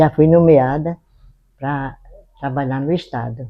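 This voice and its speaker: The speaker is a woman. Ordinary pitch variation runs through her speech. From Brazil, Rio Grande do Norte, Seridó region. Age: 80s+. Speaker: retired schoolteacher. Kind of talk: documentary interview testimony.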